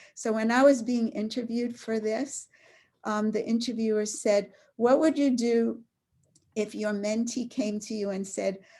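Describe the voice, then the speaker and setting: A woman's fairly high, somewhat breathy voice with a dark, mellow tone, fairly even intonation and a moderate pace. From New York City (Brooklyn). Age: 70s. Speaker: author. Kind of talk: author talk Q&A. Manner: halting.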